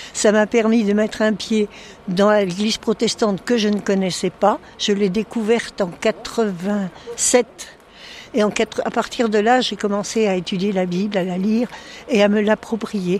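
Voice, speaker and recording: Noticeable background noise sits behind a fairly slow pace. The intonation is monotone and flat. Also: woman, medium pitch for a woman. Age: 80s+. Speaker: parish council president. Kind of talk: testimony.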